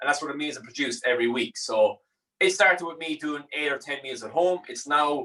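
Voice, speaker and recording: A man with a Limerick accent, a bright, sharp tone and a fairly high pitch with ordinary variation, at a very fast pace. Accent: Irish (Limerick). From Ireland, Limerick. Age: 20s. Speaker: chef and meal prep business owner. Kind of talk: cooking tutorial. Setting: studio. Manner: casual, relaxed.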